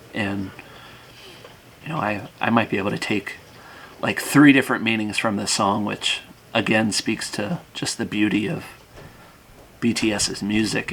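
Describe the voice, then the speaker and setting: Speaking at a moderate pace with long, frequent pauses, a man with a fairly low pitch uses ordinary pitch variation over noticeable background noise. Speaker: reaction video youtuber. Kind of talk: casual reaction commentary. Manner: halting.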